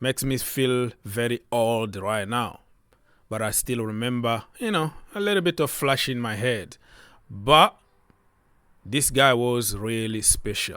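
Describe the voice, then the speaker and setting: A man with a non-native accent speaks at a fairly slow pace. The recording is very clean, with a silent background. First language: not English. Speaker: football YouTuber. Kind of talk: casual commentary video. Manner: animated.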